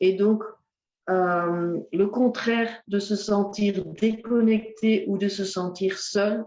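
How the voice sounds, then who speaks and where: A woman's dark, mellow voice at medium pitch, monotone and flat, at a very slow pace. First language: Dutch (speaking French). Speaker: ecotherapy speaker. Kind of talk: lecture. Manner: halting, many hesitations.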